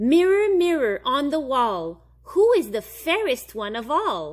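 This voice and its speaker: Using a put-on character voice, a woman talks at a fairly slow pace with a high pitch and very wide pitch swings. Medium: read story.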